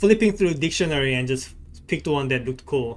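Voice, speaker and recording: Very wide pitch swings mark this voice with a non-native accent. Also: man. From South Korea. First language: Korean. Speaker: gaming streamer. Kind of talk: casual live-stream chat with game commentary. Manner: hesitant, frequent repetitions and fillers.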